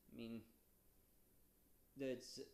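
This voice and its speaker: Very slowly and with fairly even intonation, a man speaks at a medium pitch in a dark, mellow tone. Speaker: aspiring novelist. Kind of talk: casual talk to camera. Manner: stuttering.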